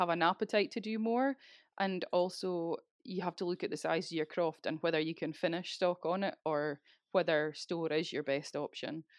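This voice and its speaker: A woman's fairly low voice at a moderate pace, with ordinary pitch variation, a dry, close sound with no echo and a quiet background. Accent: Scottish. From Scotland, Speyside. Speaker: crofter and rural business owner. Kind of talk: interview.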